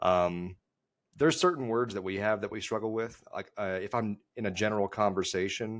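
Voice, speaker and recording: Fairly low-pitched man at a moderate pace, on a very clean recording with a silent background. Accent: Dallas. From Texas, Dallas area. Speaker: golf podcast co-host, guest. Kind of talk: casual podcast chat. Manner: halting, many fillers and repeats.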